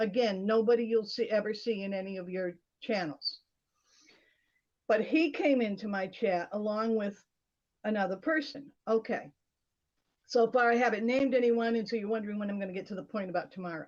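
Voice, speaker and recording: A woman with an American accent, fairly high in pitch, at a fairly quick pace with ordinary pitch variation and long, frequent pauses. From US Northeast, Boston, Massachusetts. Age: 60s. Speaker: livestream participant. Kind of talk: testimony.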